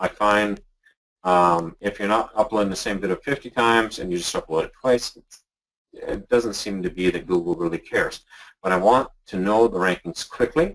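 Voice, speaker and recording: With a Canadian accent, a man speaks at a moderate pace, his fairly low pitch showing ordinary variation. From Canada. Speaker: software creator. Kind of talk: webinar tutorial. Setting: live webinar. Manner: casual, hesitant with fillers.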